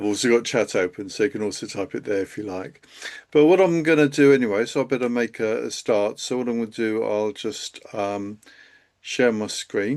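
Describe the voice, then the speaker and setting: The speaker has a southern English accent and a moderate pace. Pitch variation is ordinary, and the background is quiet. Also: man, medium pitch for a man. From England, Kent. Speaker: accountant and CFO hosting a live webinar. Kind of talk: live webinar presentation. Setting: live stream video call. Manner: hesitant, many fillers.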